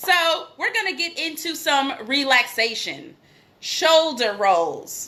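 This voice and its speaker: A woman with an American accent speaks in a raised, projected voice. Her tone is animated. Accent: New York accent when passionate. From New York. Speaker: acting coach. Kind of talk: acting class. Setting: live video stream.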